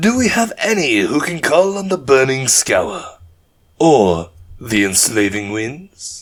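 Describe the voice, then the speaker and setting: Putting on a playful, hissing character voice, a man speaks at a fairly slow pace in a fairly high pitch with very wide pitch swings. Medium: read story. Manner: taunting, playful menace.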